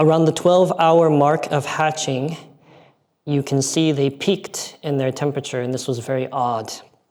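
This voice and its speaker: Here is a normal speaking voice from a man with an American accent. His pitch is fairly high, his intonation fairly even and his pace moderate. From United States. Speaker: aquaculture researcher. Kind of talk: conference presentation.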